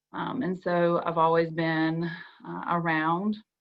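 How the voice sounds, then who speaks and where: A woman speaks with a Southern US accent. Her pitch is fairly low and her intonation fairly even. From US South, South Georgia. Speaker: school counselor panelist. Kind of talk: panel discussion.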